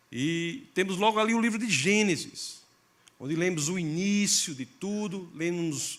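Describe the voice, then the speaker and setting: In a northeastern Brazilian accent, a man speaks at a high pitch. His pace is fairly slow and his intonation lively. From Brazil, Northeast (Catingueira, Paraíba). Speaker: pastor. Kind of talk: sermon. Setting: church.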